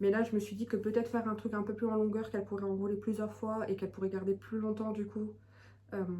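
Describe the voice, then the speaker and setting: Noticeable background noise sits behind a woman talking at a very fast pace. Her medium-pitched voice has monotone, flat intonation. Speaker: knitting podcaster, mother. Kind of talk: casual monologue podcast. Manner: hesitant, many fillers.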